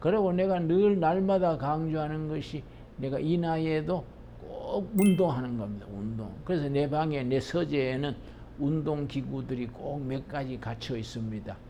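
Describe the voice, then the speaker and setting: A man speaks at a fairly slow pace in a fairly high voice. His pitch varies in an ordinary way, and there is audible room echo. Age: 80s+. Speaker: pastor. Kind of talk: lecture; sermon.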